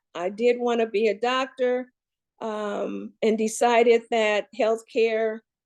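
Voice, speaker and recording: A woman with an American accent speaks in a fairly high pitch with monotone, flat intonation. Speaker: healthcare professional and panel speaker. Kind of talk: panel presentation.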